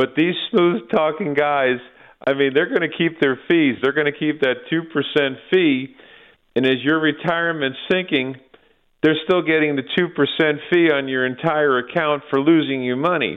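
At a moderate pace, a man uses an ordinary speaking voice with fairly even intonation and a fairly high pitch. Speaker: financial planner caller. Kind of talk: casual talk-radio chat on markets and politics. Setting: phone call.

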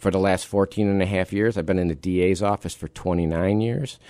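At a moderate pace, a man with an unremarkable speaking voice talks in a fairly low pitch with an American accent. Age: 50s. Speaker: district attorney. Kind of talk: radio interview. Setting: radio studio.

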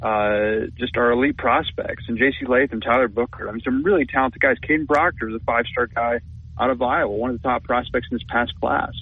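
Using a plain, everyday voice, a man with an American accent speaks at a fairly quick pace and medium pitch with ordinary pitch variation. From Minnesota. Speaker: sports beat writer. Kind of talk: sports talk radio interview. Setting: radio studio.

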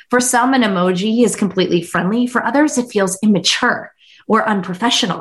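Somewhat breathy, a woman talks at a fairly quick pace and fairly high pitch with very even loudness. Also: ordinary pitch variation. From US Pennsylvania (Pittsburgh area). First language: Hindi. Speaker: author and business CEO. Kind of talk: podcast interview conversation.

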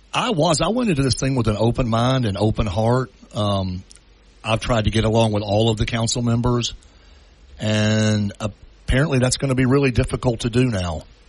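Using a plain, everyday voice, a man talks at a medium pitch and a moderate pace with ordinary pitch variation. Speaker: city council member. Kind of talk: radio interview. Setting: phone call.

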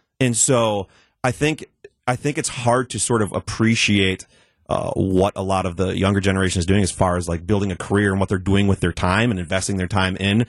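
A man with an ordinary speaking voice talks at a fairly quick pace, his fairly low pitch showing ordinary variation. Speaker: technology expert. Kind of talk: casual chat. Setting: studio.

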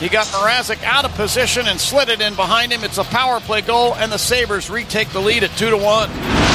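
Over noticeable background noise, a man talks at a fairly quick pace in a high pitch, with hardly any pauses. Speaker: hockey play-by-play announcer. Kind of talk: live hockey commentary. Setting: arena broadcast at the stadium. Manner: fast, excited play-by-play delivery.

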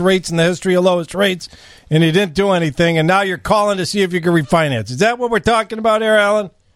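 Talking at a very fast pace, a man with a high pitch shows ordinary pitch variation. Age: 50s. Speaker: radio host. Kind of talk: casual radio talk show. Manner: animated.

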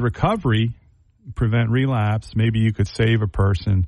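At a moderate pace, an ordinary speaking voice carries ordinary pitch variation. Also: man. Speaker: addiction treatment nonprofit founder. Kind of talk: radio interview. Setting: studio.

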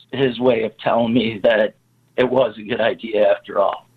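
Speaking with an American accent, a man keeps to a moderate pace. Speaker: snow removal business owner. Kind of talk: interview. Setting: phone call.

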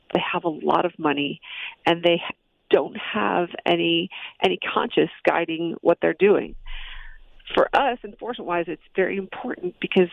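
Using an ordinary speaking voice, a woman with an American accent talks at a fairly slow pace with ordinary pitch variation. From US Midwest, Chicago. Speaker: federal drug enforcement agent. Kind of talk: radio interview. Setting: phone call.

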